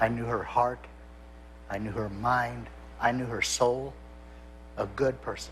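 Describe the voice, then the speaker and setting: A man at a fairly slow pace with long, frequent pauses, in a space with audible room echo. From US Midwest. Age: 60s. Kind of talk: interview testimony.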